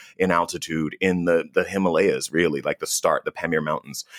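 Recorded very cleanly against a silent background, a man with an American accent speaks at a moderate pace in a dry, close sound with no echo. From US South. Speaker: travel TV host. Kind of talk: interview.

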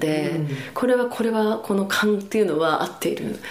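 Noticeable background noise and audible room echo surround a woman as she speaks. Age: 50s. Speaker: birth educator. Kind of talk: interview.

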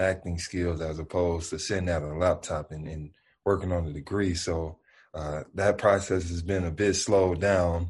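In a Memphis accent, a man speaks at a moderate pace in a very deep, low pitch, somewhat breathy, with fairly even intonation over a quiet background. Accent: Southern US (Memphis). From US South, Memphis. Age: 20s. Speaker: basketball player. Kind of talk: interview.

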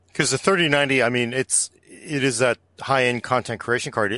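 A man speaks at medium pitch with a bright, sharp tone. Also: dry, close sound with no echo, quiet background. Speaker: tech podcast host. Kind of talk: casual chat.

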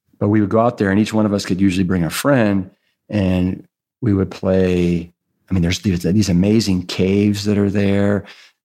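Monotone, flat intonation from a man with an American accent, a fairly low pitch, a dark, mellow tone, very even loudness and a moderate pace. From US Midwest, Cleveland, Ohio. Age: 50s. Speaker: author and former firefighter and triathlete. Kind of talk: casual chat.

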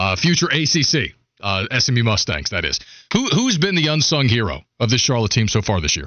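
Pitch swinging very widely, a man with a medium pitch talks at a moderate pace with vocal fry. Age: 30s. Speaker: sports radio host. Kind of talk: casual chat. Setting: studio.

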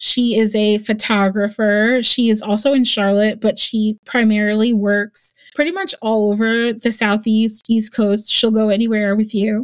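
Using a normal speaking voice, a woman talks at a fairly slow pace, fairly high in pitch with fairly even intonation. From New Jersey. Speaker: wedding planner. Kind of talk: casual interview chat.

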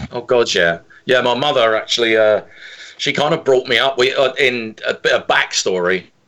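With an English accent and a bright, sharp tone, a man speaks at a medium pitch and moderate pace with ordinary pitch variation. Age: 50s. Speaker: singer-songwriter and drummer. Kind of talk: interview. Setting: phone call.

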